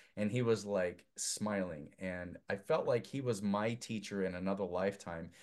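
A man's plain, everyday voice with an American accent, fairly low in pitch, at a fairly slow pace. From US Northwest (Idaho). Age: 50s. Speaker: filmmaker. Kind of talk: casual chat.

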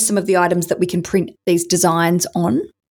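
On a very clean recording with a silent background, a woman with an ordinary speaking voice talks at a moderate pace and a medium pitch. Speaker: podcast host and interviewer. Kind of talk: interview.

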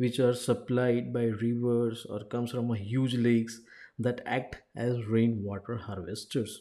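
Speaking with a Gujarati accent, a man at a medium pitch uses a dark, mellow tone and a fairly slow pace in a very clean recording with a silent background. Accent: Indian English (Gujarati). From India, Gujarat (Ahmedabad). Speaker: life coach and engineer. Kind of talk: informational talk.

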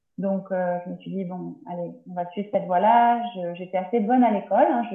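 A woman at medium pitch and a moderate pace, with ordinary pitch variation. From France, Tours. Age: 30s. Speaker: naturopath. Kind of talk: interview. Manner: halting. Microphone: poor sound quality.

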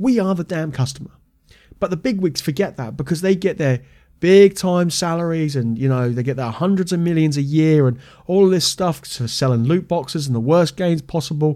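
A man with a British accent, fairly high in pitch yet dark and mellow in tone, with ordinary pitch variation and a fairly quick pace. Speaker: podcast host and martial arts school owner. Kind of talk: angry rant about the games industry. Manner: heated, indignant, fired-up rant; informal, chatty.

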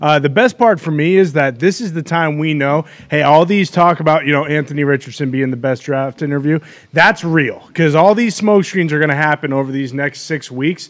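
With an unremarkable speaking voice, a man moves at a fairly quick pace, his pitch fairly high and varying in an ordinary way. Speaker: show panel member. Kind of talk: casual sports talk chat.

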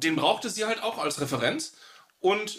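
Speech comes at a moderate pace. Pitch moves in very wide swings. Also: man. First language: grew up trilingual (speaking German). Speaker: podcast co-host, tabletop roleplayer. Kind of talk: casual chat.

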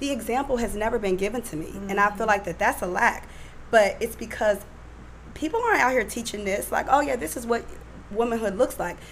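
A woman with a fairly high pitch rushes along at a very fast pace, her pitch varying in an ordinary way, while noticeable background noise runs underneath. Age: 30s. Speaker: guest, single churchgoer. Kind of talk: casual chat. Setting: studio.

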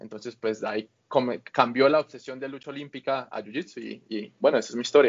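A man speaks in an ordinary speaking voice at a medium pitch. His loudness swings widely. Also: fairly even intonation, fairly quick pace, hardly any pauses. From Colombia, Bucaramanga. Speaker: grappling athlete. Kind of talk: interview.

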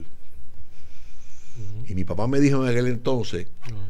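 Here a man speaks in a plain, everyday voice. His pace is fairly slow, with ordinary pitch variation. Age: 60s. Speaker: business podcast host. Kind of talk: casual chat.

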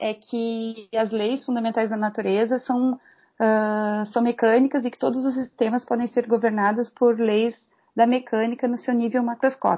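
Here is a plain, everyday voice from a woman. She speaks at a fairly slow pace with a fairly high pitch. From Rio Grande do Sul, Brazil (Pelotas). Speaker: mathematics professor. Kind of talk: interview.

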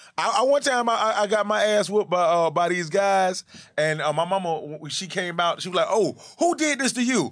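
Against a quiet background, a high-pitched man with an American accent speaks at a fairly quick pace with lively intonation. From Atlanta, US South. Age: 30s. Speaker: comedian and internet personality. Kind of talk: casual chat. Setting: studio.

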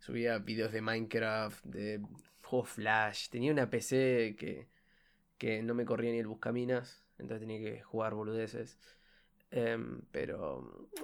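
In a very clean recording with a silent background, a man with a Uruguayan accent speaks at a fairly slow pace in a monotone, flat delivery at a medium pitch. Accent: Rioplatense Spanish (Uruguayan). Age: 20s. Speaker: student podcaster. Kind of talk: casual monologue. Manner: halting, with repetitions and fillers.

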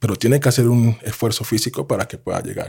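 A man talks at a medium pitch in a dark, mellow tone that is somewhat breathy. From Colombia. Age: 30s. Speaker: sports analyst and former basketball player. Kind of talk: casual interview.

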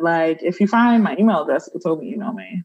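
A woman's somewhat breathy, medium-pitched voice with an American accent, lively intonation and a very fast pace. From US Northeast, Brooklyn, New York. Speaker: social worker and healer. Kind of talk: interview conversation.

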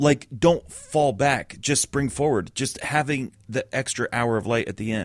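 A man talks in a normal speaking voice at a medium pitch with ordinary pitch variation. His pace is fairly slow, and the sound is dry and close with no echo. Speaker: podcast co-host. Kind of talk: casual banter. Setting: studio.

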